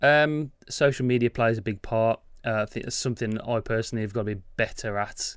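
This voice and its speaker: Heard in a very clean recording with a silent background, a man with an ordinary speaking voice talks at a medium pitch and a fairly quick pace with fairly even intonation. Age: 30s. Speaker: tech podcast co-host, YouTuber. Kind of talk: casual chat.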